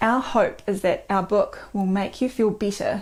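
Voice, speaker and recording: In a New Zealand accent, a woman speaks at a moderate pace with a medium pitch. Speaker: doctor and co-author. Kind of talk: book presentation video.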